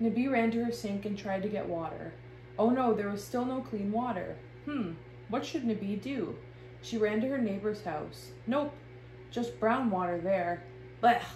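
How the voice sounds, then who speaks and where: Noticeable background noise and audible room echo surround a woman with a fairly high pitch and ordinary pitch variation. She speaks at a moderate pace, with long, frequent pauses. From Ontario, Canada (Rama First Nation). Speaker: illustrator and artist. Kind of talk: children's story reading. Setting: art studio.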